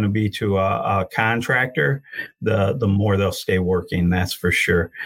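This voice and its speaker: A man speaks with an American accent in a somewhat breathy voice, recorded very cleanly against a silent background. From Michigan, Genesee County. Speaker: union career and outreach coordinator, heavy equipment operator. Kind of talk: interview.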